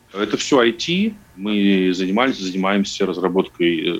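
A man is speaking. The background is quiet. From Estonia (Narva, Russian-speaking). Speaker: IT entrepreneur. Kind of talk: casual interview.

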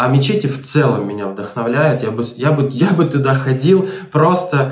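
There's audible room echo and noticeable background noise as a man speaks at a medium pitch with lively intonation. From Ukraine, Melitopol. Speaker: remote marketing specialist. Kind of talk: interview.

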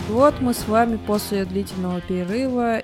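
Here is a plain, everyday voice. It moves at a moderate pace with fairly even intonation. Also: woman. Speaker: podcast co-host. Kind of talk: casual chat.

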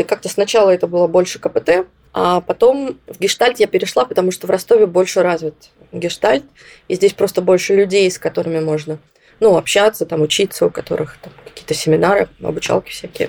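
A woman talks in a normal speaking voice at a medium pitch, with ordinary pitch variation and a fairly quick pace. The sound is dry and close, with no echo. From southern Russia, Rostov-on-Don. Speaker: psychologist. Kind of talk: interview.

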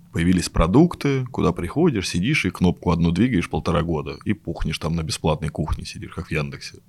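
With a very deep, low pitch, a man talks at a fairly quick pace with lively intonation and hardly any pauses, in a very clean recording with a silent background. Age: 30s. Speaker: web designer. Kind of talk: casual chat. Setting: studio.

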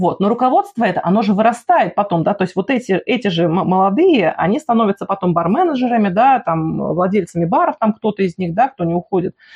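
Somewhat breathy and medium in pitch, a woman's voice moves at a very fast pace with lively intonation and hardly any pauses. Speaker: podcast host. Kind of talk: interview. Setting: remote call.

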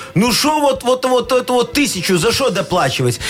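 Background music plays throughout. The man's pitch swings very widely. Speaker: radio host. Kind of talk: radio dj patter. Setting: studio. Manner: animated; bantering.

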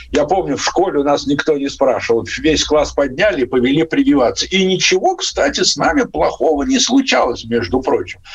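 Noticeable background noise sits behind a man who barely stops between words. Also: moderate pace, very even loudness. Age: 60s. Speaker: infectious disease doctor. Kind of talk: radio interview. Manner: halting.

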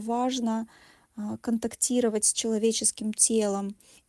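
With a dark, mellow tone and a fairly high pitch, a woman speaks at a very slow pace with monotone, flat intonation, in a dry, close sound with no echo. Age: 40s. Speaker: psychologist. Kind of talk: recorded monologue.

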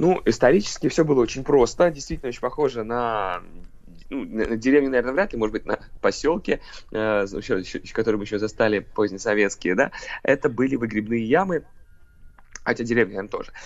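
A man at a medium pitch talks at a very fast pace with lively intonation, broken by long, frequent pauses, over a quiet background. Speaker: Moscow history expert. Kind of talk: interview.

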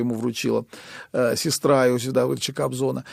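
With fairly even intonation, a plain, everyday voice talks at a fairly quick pace. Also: man. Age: 60s. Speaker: composer and union chairman. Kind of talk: interview.

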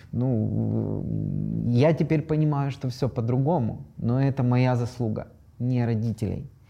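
Music plays in the background as a man speaks at a very slow pace. His medium pitch shows ordinary variation. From Ukraine. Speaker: decolonization activist. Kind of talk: casual panel discussion.

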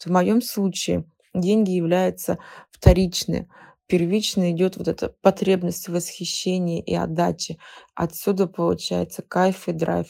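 The recording is very clean and the background silent. A woman speaks at a fairly slow pace. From Siberia, Russia (Novokuznetsk). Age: 30s. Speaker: psychologist. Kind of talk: expert talk.

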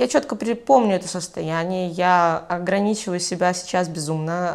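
An ordinary speaking voice talks at a moderate pace on a very clean recording with a silent background. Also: woman. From Belarus, Mogilev. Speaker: entrepreneur and blogger. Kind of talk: casual interview.

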